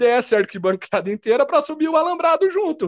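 With very wide pitch swings, a man talks at a very fast pace in a dry, close sound with no echo against a quiet background. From Brazil, Curitiba (Paraná). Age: 30s. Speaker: football fan. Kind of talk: casual chat.

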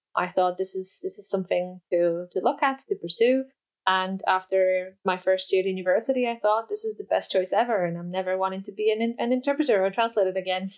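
Speaking fairly quickly in a Polish accent, a woman keeps a medium pitch with ordinary pitch variation. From Poland. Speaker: education researcher. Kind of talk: interview.

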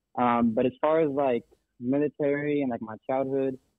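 This man has a normal speaking voice with an American accent. His pitch is medium and his intonation fairly even. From Texas. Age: 20s. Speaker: army veteran turned real estate agent. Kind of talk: casual interview. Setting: phone call.

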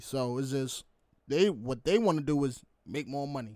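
A man's plain, everyday voice with ordinary pitch variation. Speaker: football coach and semi-pro player. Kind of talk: casual chat.

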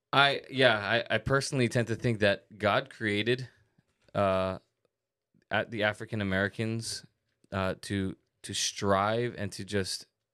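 A man's fairly low voice at a fairly slow pace, with fairly even intonation and long, frequent pauses. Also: very clean recording, silent background. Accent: Hawaiian. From Hawaii. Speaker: podcast co-host. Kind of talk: casual chat.

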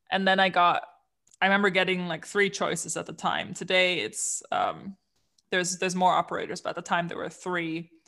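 A woman's bright, sharp, medium-pitched voice in a German accent, fairly quick and flat in monotone, on a very clean recording with a silent background. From Germany, Aachen. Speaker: coliving company co-founder. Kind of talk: casual interview.

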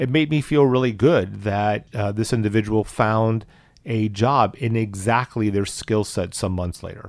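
With an American accent and an unremarkable speaking voice, a man talks at a fairly slow pace, his fairly low pitch showing ordinary variation. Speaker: guest, husband of the host. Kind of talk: interview, conversational discussion.

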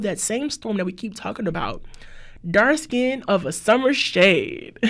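A woman with an American accent speaks at a moderate pace in a fairly high pitch. Her tone is animated, with lively intonation. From New Orleans / Texas. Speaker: podcast host, music commentator. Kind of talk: casual monologue, song breakdown.

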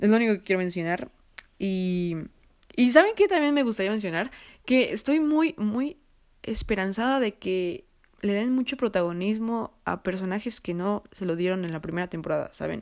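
The recording is very clean with a silent background. A woman speaks at a moderate pace with lively intonation. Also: medium pitch for a woman. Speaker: podcast host. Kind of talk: solo casual monologue with film recommendations. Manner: halting, stumbles over words.

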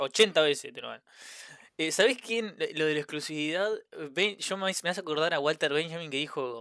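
With a bright, sharp tone and fairly high pitch, a man speaks at a moderate pace on a very clean recording with a silent background. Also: ordinary pitch variation. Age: 20s. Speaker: podcast co-host. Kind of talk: casual chat.

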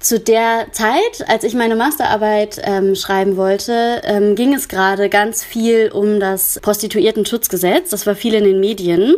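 Noticeable background noise runs through the clip. The speech moves at a fairly slow pace. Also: woman. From Germany, Cologne. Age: 30s. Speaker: counselor for sex workers. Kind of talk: interview. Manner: hesitant, many filler sounds.

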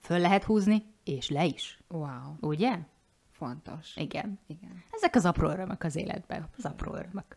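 A woman with a somewhat breathy, fairly low voice talks at a moderate pace, with lively intonation and big swings in loudness. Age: 40s. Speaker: podcast co-host, life coach. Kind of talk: casual chat.

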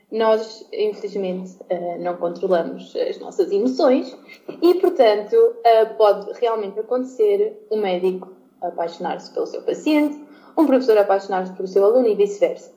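Noticeable background noise behind a woman at a moderate pace. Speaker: former podcast co-host returning as guest. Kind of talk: casual debate among friends.

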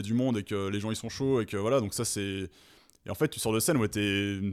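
Recorded very cleanly with a silent background, a man uses a plain, everyday voice with a fairly low pitch and ordinary pitch variation. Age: 30s. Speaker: metal musician. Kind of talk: casual chat.

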